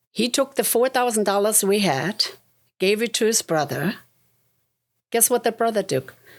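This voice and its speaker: A woman with a German accent. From Germany. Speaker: realtor and investor. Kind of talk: interview testimony. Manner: conversational, many fillers.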